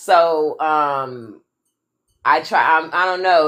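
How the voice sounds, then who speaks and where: A woman drawls with a Southern US accent. Her pitch sits fairly low. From American South. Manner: drawn-out, drawling delivery.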